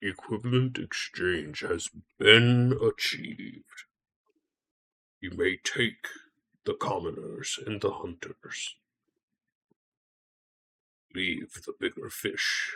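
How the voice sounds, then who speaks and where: In a put-on character voice, a man sounds raspy and booming. He talks at a very slow pace with long, frequent pauses. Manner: commanding, ominous.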